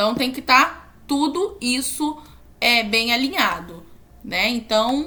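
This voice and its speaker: A woman speaks at a high pitch with lively intonation. Her tone is bright and sharp. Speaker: university student. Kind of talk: tutorial. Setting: screen recording at computer. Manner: halting.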